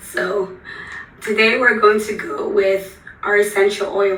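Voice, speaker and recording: A woman talks with music in the background. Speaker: holistic wellness coach. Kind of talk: guided breathing practice. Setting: live stream on Facebook. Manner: calm, soothing.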